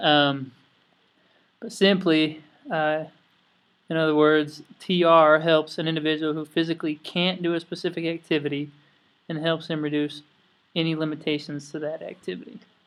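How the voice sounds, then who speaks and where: In a very clean recording with a silent background, a man with an Idaho accent talks at a moderate pace in a fairly high, monotone, flat voice, leaving long, frequent pauses. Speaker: student. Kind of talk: class presentation.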